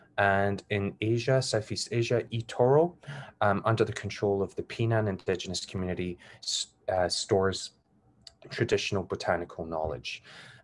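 A man with a Glasgow accent, fairly low in pitch, with ordinary pitch variation at a moderate pace. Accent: Scottish (Glasgow). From Scotland, Glasgow. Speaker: academic researcher. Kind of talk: lecture. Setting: video call.

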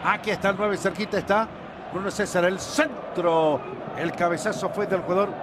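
With ordinary pitch variation, a man's high voice comes through noticeable background noise. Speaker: play-by-play commentator. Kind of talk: live football commentary. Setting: broadcast commentary booth with co-commentators. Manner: rapid-fire, breathless play-by-play, naming players as the ball moves.

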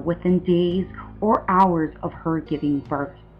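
A very slow pace, with music in the background. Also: woman. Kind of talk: documentary-style advocacy narration. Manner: overly dramatic.

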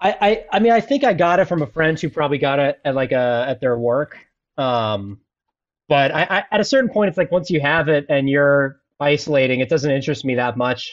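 With an American accent and an ordinary speaking voice, a man talks at a fairly quick pace with fairly high pitch, lively intonation and very even loudness. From Philadelphia. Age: 30s. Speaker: comedian. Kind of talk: casual chat. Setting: video call.

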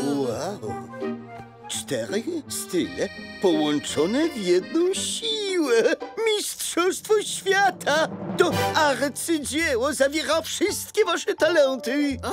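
A cartoonish character voice speaks at a very slow pace over clear background music. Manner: theatrical, effusive.

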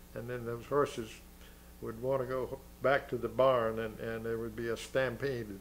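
Over light background noise, a man with an American accent speaks at a moderate pace in a monotone, flat intonation. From Florida, USA. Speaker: war veteran. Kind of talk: interview answer. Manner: hesitant, with many fillers. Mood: reflective reminiscing. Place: home room.

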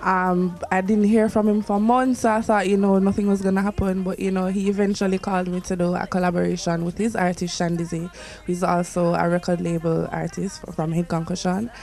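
With light background noise, a woman talks at a fairly quick pace in a monotone, flat intonation. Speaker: interviewee. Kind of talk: interview answer. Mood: relaxed, reflective. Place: studio. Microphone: handheld.

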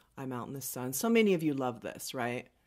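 Against a quiet background, a woman speaks in an animated tone at a very deep, low pitch. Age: 50s. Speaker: makeup artist and beauty vlogger; beauty vlogger. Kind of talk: makeup tutorial. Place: studio.

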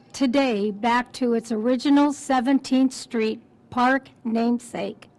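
A woman's high voice at a fairly slow pace, with fairly even intonation. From Southern California. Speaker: longtime local resident. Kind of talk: ceremonial speech with personal memories. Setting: outdoors at a park ceremony. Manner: warm, cheerful, laughs. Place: street. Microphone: podium.

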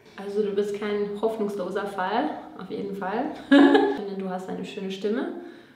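Strong room echo surrounds a woman speaking at a fairly slow pace, her medium pitch carrying ordinary pitch variation and a slightly mellow tone.

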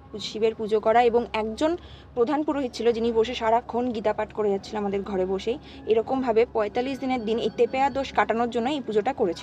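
Against light background noise, a woman speaks in a normal speaking voice at a fairly high pitch, with fairly even intonation and a dry sound with no echo. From West Bengal, Nadia district (between Chakdah and Ranaghat); West Bengal. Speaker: storyteller of a paranormal experience. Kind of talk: personal storytelling in casual chat. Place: home room. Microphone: camera far.

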